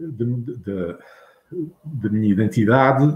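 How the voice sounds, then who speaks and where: A man talks at a very slow pace in a somewhat breathy, medium-pitched voice with ordinary pitch variation. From Azores. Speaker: writer and retired teacher. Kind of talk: interview.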